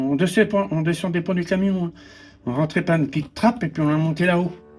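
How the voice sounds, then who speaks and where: Very fast speech from a man, ordinary in pitch variation. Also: very clean recording, silent background. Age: 70s. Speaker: retired volunteer firefighter. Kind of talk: casual interview, looking through photo album. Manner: halting, with many repetitions and hesitations.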